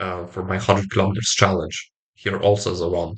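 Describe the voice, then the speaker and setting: A man speaks with a somewhat breathy voice. The background is quiet. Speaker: self-improvement vlogger. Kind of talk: motivational talk to camera. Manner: halting.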